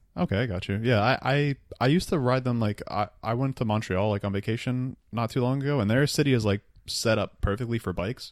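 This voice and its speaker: Against a silent background in a very clean recording, a man talks at a fairly quick pace in an ordinary speaking voice, medium in pitch with ordinary pitch variation. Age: 20s. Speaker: podcast host. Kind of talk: casual chat. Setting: in person, East Village apartment.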